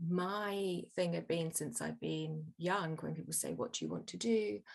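A woman with an English Midlands accent at a fairly slow pace. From England, Birmingham. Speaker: storytelling coach and author. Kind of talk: interview conversation.

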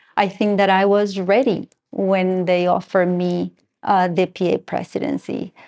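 In a quiet setting, a woman with a slight Argentine accent speaks at a moderate pace in a medium pitch, her loudness very even. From Argentina. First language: Spanish. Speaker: school parent and board member. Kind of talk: interview. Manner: halting, many fillers.

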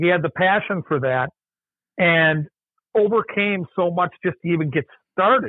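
With an Upper Midwest accent, a man speaks at a high pitch, his loudness very even and his pauses long and frequent. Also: ordinary pitch variation, moderate pace. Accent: Upper Midwest (Minnesota). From Minnesota, Mankato. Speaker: college friend of late author. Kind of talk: casual chat. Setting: call.

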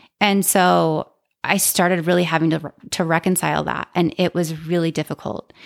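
In a very clean recording with a silent background and a dry, close sound with no echo, a woman with vocal fry and a fairly low pitch talks at a moderate pace, her loudness very even and her intonation fairly even. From Utah. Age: 40s. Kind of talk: casual interview, personal story.

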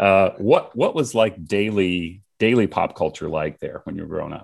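A man with an American accent has an unremarkable speaking voice, fairly low in pitch with ordinary pitch variation. He talks at a fairly slow pace against a quiet background. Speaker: podcast host. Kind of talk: casual interview chat.

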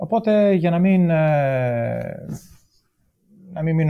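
Fairly high pitched, a man speaks in a dark, mellow tone with ordinary pitch variation. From Greece, Thessaloniki. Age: 40s. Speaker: amateur ultramarathon runner. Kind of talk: casual interview chat. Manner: halting, many hesitations.

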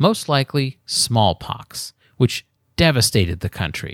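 Recorded very cleanly with a silent background and a dry, close sound with no echo, a man talks at a fairly slow pace in a medium pitch. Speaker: podcast host and history narrator. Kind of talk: history documentary narration, scripted storytelling of myth and legend. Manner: measured, even, formal storyteller pacing.

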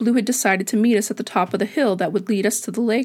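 In a very clean recording with a silent background, a woman with an unremarkable speaking voice talks at a fairly quick pace, her pitch fairly high with ordinary variation. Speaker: podcast host and storyteller. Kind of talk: literary audiobook-style narration of a personal sci-fi story; scripted podcast monologue. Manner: soft, dreamy and descriptive.

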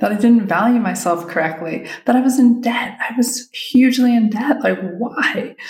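A woman keeps a moderate pace as noticeable background noise goes on. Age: 50s. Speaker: photography business coach. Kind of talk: solo podcast monologue. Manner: casual, with filler words.

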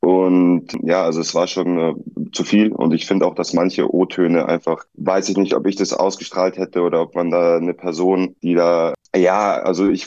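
Very deep, low pitch and a dark, mellow tone from a man. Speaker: reality TV contestant. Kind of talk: interview.

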